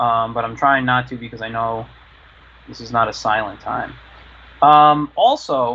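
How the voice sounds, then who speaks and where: Pausing long and often, a man with a medium pitch and fairly even intonation speaks at a fairly slow pace. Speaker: cartoonist and drawing teacher. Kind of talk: live drawing tutorial. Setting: live online stream. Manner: halting, many fillers; quiet while drawing.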